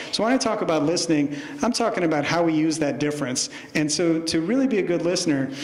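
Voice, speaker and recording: A man with an American accent talks at a very fast pace, his high pitch carried by lively intonation and very even loudness. Audible room echo and noticeable background noise fill the recording. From US South, south Louisiana (Cajun area). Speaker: public speaker, political center director. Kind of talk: public lecture. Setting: room with live audience. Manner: fairly fast.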